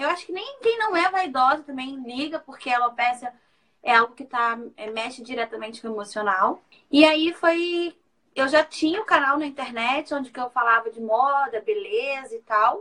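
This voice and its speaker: Using a raised, projected voice, a woman with a high pitch and a bright, sharp tone speaks at a moderate pace, with very wide pitch swings and big swings in loudness. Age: 30s. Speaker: author and makeup artist. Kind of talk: live interview. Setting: Instagram live stream.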